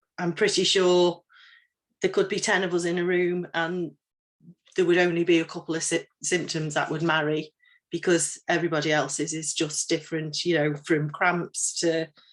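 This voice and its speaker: A woman with an English accent speaks at a fairly low pitch in a monotone, flat intonation. The recording is very clean with a silent background. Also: moderate pace. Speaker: menopause trainer. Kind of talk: training talk. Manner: halting.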